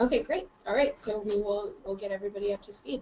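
Over light background noise, a woman talks at a moderate pace with ordinary pitch variation. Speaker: presenter. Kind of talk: lecture. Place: meeting room. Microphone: camera far.

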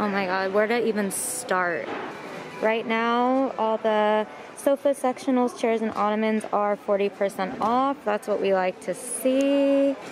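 At a fairly slow pace, a woman speaks at a medium pitch with ordinary pitch variation over faint background noise.

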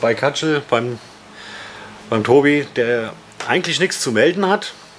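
A man at medium pitch and a fairly slow pace over light background noise. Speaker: YouTuber, metal fan; YouTuber. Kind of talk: casual chat. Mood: joking, relaxed. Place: shop. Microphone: phone near.

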